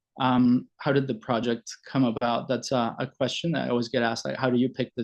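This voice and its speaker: Fairly quick, flat, monotone speech in a Spanish accent over a quiet background. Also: man. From Venezuela, Caracas. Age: 40s. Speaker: family doctor and logotherapy presenter. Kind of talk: presentation. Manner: halting, many fillers.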